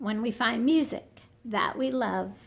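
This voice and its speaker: In a put-on character voice, the speaker goes at a fairly slow pace with fairly even intonation. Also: woman, fairly high pitch for a woman. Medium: read story. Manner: soft, shy.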